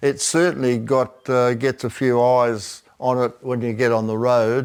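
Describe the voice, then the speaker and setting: This man has an Australian accent and a medium pitch. He talks at a fairly slow pace. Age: 80s+. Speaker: classic car owner. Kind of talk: casual interview. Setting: garage. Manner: halting.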